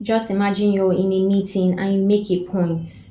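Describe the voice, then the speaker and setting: A woman's monotone, flat delivery comes with audible room echo and music in the background. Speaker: self-development coach. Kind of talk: advice talk to camera.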